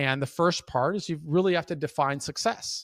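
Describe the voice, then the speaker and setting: An unremarkable speaking voice from a man, fairly high in pitch with ordinary variation, at a moderate pace, dry and close with no echo in a very clean recording with a silent background. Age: 50s. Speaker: prison reform advocate and mentor. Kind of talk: interview answer.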